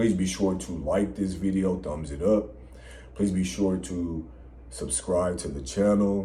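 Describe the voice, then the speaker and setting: A man with a very deep, low pitch and a dark, mellow tone sounds somewhat breathy at a moderate pace, with audible room echo. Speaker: podcast co-host. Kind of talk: casual chat. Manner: hard to hear, low volume.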